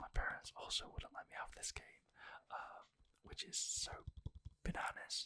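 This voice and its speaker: Someone whispers at a moderate pace, with long, frequent pauses. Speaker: ASMR creator. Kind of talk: ASMR whispered talk about a game collection. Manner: whispered.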